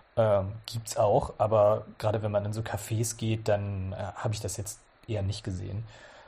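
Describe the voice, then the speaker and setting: A man speaks at a moderate pace with a fairly low pitch and a dark, mellow, somewhat breathy tone. His intonation stays monotone and flat. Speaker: journalist. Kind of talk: casual interview.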